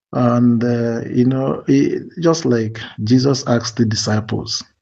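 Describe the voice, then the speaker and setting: Quiet and very slow, a man speaks at medium pitch in a dark, mellow tone. His pitch varies in an ordinary way. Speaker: community movement admin. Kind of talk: voice note response. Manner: lowered, quiet voice; hesitant, many fillers.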